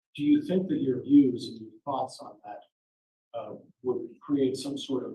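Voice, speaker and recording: A man at a moderate pace, with audible room echo. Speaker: attorney questioning jurors. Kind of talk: jury selection questioning. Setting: courtroom.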